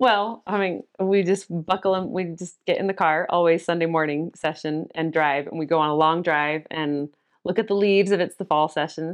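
The speech moves at a moderate pace with hardly any pauses and ordinary pitch variation. The background is quiet. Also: woman, fairly low pitch for a woman. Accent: Utah. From Cottonwood Heights, Utah. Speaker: church member and mother. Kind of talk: casual interview about faith. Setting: at home.

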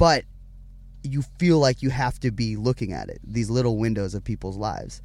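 Using a normal speaking voice, a man talks at a moderate pace, his medium pitch showing ordinary variation. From Richmond, Virginia. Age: 20s. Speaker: lead singer of a band. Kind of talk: casual chat. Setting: in a parked tour van. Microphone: in-person recording, good quality.

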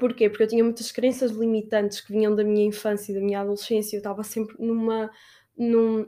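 A woman speaks at a very fast pace with a fairly high pitch and a dark, mellow tone. Her intonation is monotone and flat. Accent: European Portuguese. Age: 20s. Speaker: podcast host. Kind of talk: motivational monologue. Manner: warm, casual.

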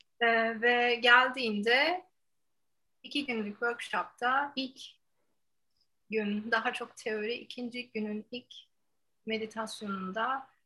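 With long, frequent pauses, a woman speaks at a very slow pace in a bright, sharp tone and fairly even intonation. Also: big swings in loudness. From Turkey, Ankara. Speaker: yoga teacher. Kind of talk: casual interview.

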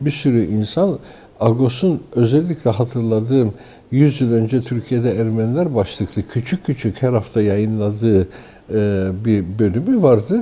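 A man talks at a fairly slow pace with a medium pitch, ordinary pitch variation, and very even loudness. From Turkey, Istanbul. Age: 60s. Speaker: newspaper editor and writer. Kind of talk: interview. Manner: hesitant, many filler sounds.

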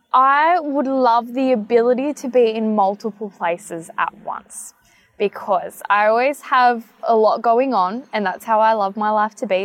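Music plays behind a woman with an Australian accent. She speaks at a moderate pace in a fairly high pitch with ordinary pitch variation. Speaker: pageant titleholder. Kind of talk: casual interview. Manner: loud; talkative.

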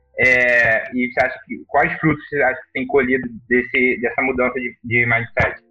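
A man at a moderate pace with hardly any pauses, music playing in the background. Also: big swings in loudness. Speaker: podcast host. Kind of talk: casual chat.

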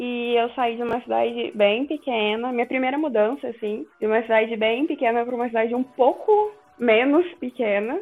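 With noticeable background noise, a woman speaks in a high pitch at a moderate pace, using ordinary pitch variation and hardly any pauses. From Minas Gerais, Brazil. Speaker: podcast guest. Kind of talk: casual chat.

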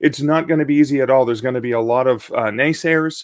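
A man talks at a very fast pace. His fairly high pitch shows ordinary variation. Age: 50s. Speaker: author. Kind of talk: interview.

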